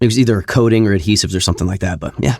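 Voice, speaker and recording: Here a man speaks with an American accent at a fairly low pitch. His intonation stays fairly even in a very clean recording with a silent background. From US South, Louisiana. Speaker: voice actor. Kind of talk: interview. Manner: casual.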